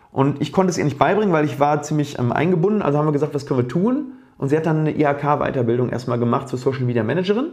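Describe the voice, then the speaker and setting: Talking at a very fast pace, a man uses a fairly high, somewhat breathy voice with ordinary pitch variation. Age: 30s. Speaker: dentist and oral surgeon. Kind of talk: casual interview. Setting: at home.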